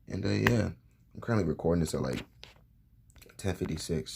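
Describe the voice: A man speaks in a raspy, very deep put-on character voice at a fairly quick pace, with very wide swings in pitch.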